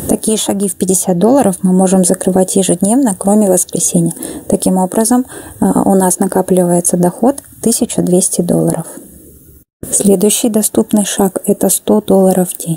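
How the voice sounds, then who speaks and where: This woman has an ordinary speaking voice at a medium pitch, moving at a moderate pace with ordinary pitch variation in a dry, close sound with no echo. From Kazakhstan. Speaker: network marketing presenter. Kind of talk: explanatory sales pitch.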